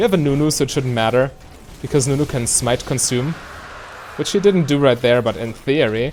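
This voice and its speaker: A man talks at a fairly quick pace while noticeable background noise fills the recording. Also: medium pitch for a man, ordinary pitch variation. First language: not English. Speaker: gaming video creator. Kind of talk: gameplay commentary. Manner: casual, explanatory with fillers.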